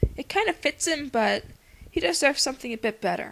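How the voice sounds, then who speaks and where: A woman mumbling at a moderate pace, with very wide pitch swings. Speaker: amateur movie reviewer. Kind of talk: casual talk to camera. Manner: mumbles in places; enthusiastic, casual.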